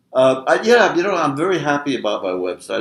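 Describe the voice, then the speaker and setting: A man speaks at a fairly quick pace. His fairly high voice carries vocal fry. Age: 80s+. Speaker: blogger. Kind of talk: casual chat. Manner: halting.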